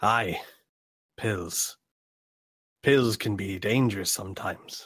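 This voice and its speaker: In a gruff, put-on character voice, a man speaks at a fairly slow pace with a fairly low pitch. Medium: actual play. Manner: gruff, sailor-like, says 'aye'.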